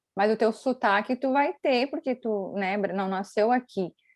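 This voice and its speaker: In a dry, close sound with no echo and a quiet background, a woman speaks at a moderate pace and fairly high pitch with ordinary pitch variation. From Brazil. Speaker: YouTuber. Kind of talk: casual interview chat.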